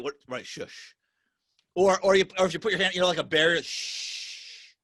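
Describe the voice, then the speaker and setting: Loud and high-pitched, a man speaks at a moderate pace. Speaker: podcast host. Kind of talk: casual chat. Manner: emphatic.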